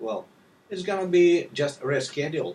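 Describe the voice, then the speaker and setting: A man with a Russian accent at a moderate pace. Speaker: language tutor. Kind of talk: sales pitch. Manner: halting.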